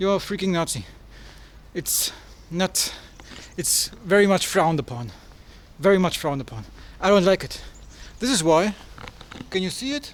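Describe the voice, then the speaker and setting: A man's high voice in a German accent, with lively intonation, long, frequent pauses and noticeable background noise. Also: moderate pace. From Germany. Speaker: travel vlogger. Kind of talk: travel vlog.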